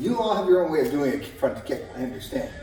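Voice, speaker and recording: A man's pitch swings very widely, heard through audible room echo and noticeable background noise. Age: 60s. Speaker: karate instructor. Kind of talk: tutorial.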